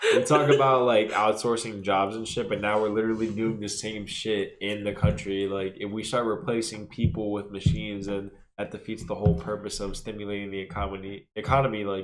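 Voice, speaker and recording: A man's normal speaking voice, fairly even in intonation, at a fairly quick pace with hardly any pauses. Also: fairly low pitch for a man. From Pennsylvania (Allentown), born in New York. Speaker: podcast co-host. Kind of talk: casual chat.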